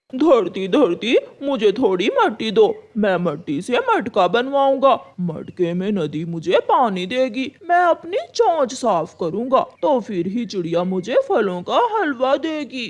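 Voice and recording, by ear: In a cartoonish character voice, the speaker moves at a fairly slow pace, pitched fairly high with very wide pitch swings.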